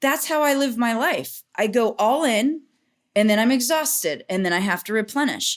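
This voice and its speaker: A woman speaks at a fairly slow pace in an animated tone with ordinary pitch variation, on a very clean recording with a silent background. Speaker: business coach and speaker. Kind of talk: interview.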